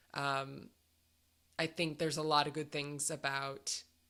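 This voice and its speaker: A woman's very deep, low voice at a fairly slow pace. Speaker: radio show host. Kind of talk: radio DJ chat. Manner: casual, hesitant with fillers.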